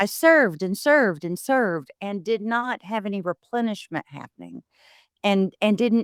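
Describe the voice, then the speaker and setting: A woman with an American accent speaks at a moderate pace at a medium pitch with lively intonation, in a very clean recording with a silent background and a dry, close sound with no echo. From Texas. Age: 60s. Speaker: therapist. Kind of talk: podcast interview.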